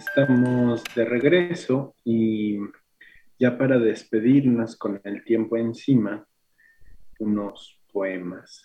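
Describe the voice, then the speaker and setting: With a Mexico City accent, a man talks at a very slow pace. His pitch is medium, with ordinary pitch variation. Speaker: radio host. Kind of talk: radio talk and poetry reading. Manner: halting, with repetitions.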